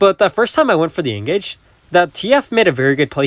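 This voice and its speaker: A man talks at a very fast pace, his pitch swinging very widely. The sound is dry and close, with no echo. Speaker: mobile game streamer and coach. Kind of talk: gameplay commentary.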